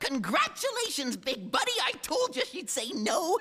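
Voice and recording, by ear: A cartoonish character voice speaks over faint music in the background. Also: moderate pace.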